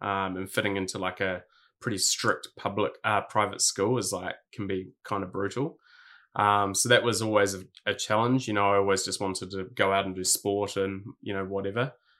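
A man speaks at a moderate pace in a fairly low, bright and sharp voice with monotone, flat intonation, captured in a very clean recording with a silent background. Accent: New Zealand. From New Zealand, Hawke's Bay. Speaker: streetwear brand founder. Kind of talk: casual interview chat.

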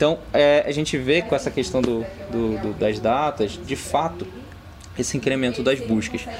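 Noticeable background noise sits behind speech that goes at a moderate pace, with pitch that varies in an ordinary way. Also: man, medium pitch for a man. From Rio de Janeiro, Brazil. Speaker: tech company partnerships manager. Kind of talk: podcast interview. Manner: halting, many fillers.

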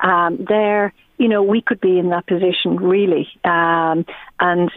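A woman talks in an Irish accent. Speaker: fertility coach. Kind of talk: casual chat.

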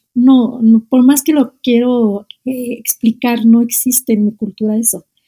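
Her voice somewhat breathy, a woman with a fairly high pitch and a dark, mellow tone speaks in a monotone, flat intonation, the sound dry and close with no echo. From Algeria, Oran. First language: Arabic (speaking Spanish). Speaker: Arabic teacher. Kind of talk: casual interview. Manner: halting, frequent repetitions.

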